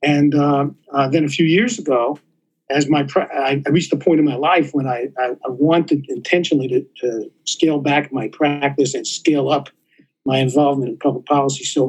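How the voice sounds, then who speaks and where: A New York accent at a moderate pace with fairly even intonation. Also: man, fairly high pitch for a man. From New York City. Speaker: surgeon and policy scholar. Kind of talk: interview. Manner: halting, many fillers.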